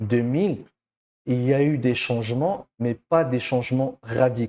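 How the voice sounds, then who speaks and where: A man with a non-native accent speaks at a fairly slow pace in a medium pitch. His tone is dark and mellow, his intonation fairly even, and the recording very clean with a silent background. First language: not French (speaking French). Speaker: education coach. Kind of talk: educational monologue. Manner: hesitant, many fillers.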